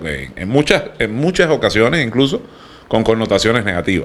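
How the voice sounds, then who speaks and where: Speaking with a slight Cuban accent, a man with a fairly low pitch uses lively intonation. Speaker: podcast panelist, freemason. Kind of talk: casual chat.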